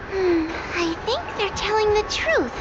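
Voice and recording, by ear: A female-sounding cartoonish character voice talks at a moderate pace. Loud background noise runs underneath.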